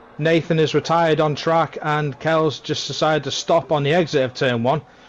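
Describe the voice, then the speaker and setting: A man talks at a moderate pace with fairly high pitch. His intonation is fairly even, and noticeable background noise is present. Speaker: sim racing commentator. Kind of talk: live commentary.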